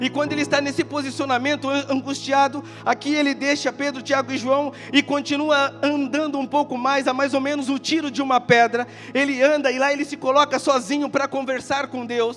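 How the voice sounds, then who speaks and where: Fairly quick, monotone, flat speech from a man with an extremely high pitch, music in the background. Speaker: pastor. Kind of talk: sermon. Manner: fast; passionate.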